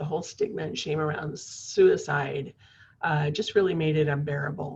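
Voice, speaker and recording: A woman speaks with a very deep, low pitch. Her voice is somewhat breathy. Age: 60s. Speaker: suicide prevention director. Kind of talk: personal testimony in interview. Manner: halting, many fillers.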